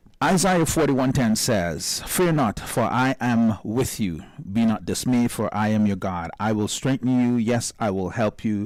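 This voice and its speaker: An unremarkable speaking voice from a man, medium in pitch, with lively intonation, very even loudness and a fairly slow pace. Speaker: radio show host. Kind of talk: radio talk show interview.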